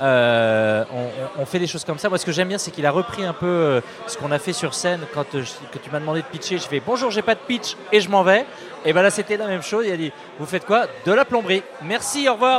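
Over noticeable background noise, a man talks at a fairly quick pace in a high pitch with very wide pitch swings. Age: 40s. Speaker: startup founder. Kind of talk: casual chat. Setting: live event with audience.

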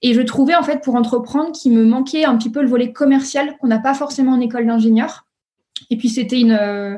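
The woman's voice is high-pitched, with a dark, mellow tone. Her intonation stays fairly even. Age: 30s. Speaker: startup founder. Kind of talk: interview. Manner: hesitant, many fillers.

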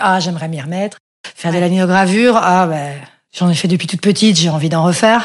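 Fairly quick and fairly even in intonation, a woman speaks at a medium pitch. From Belgium, Brussels. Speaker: sign painter. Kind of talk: casual interview. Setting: home apartment. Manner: halting.

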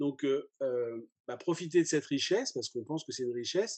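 A man's medium-pitched, dark, mellow voice with ordinary pitch variation against a quiet background. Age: 50s. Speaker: journalist. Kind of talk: interview. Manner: hesitant, many fillers.

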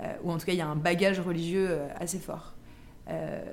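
Audible room echo surrounds a woman talking at a fairly quick pace. Her intonation is monotone and flat. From France, Versailles. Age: 30s. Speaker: life coach. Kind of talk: casual interview. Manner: hesitant, many fillers.

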